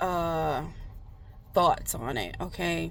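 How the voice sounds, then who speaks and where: A woman is speaking. There is audible room echo on the recording. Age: 30s. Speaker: tarot reader. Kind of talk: casual chat. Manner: halting.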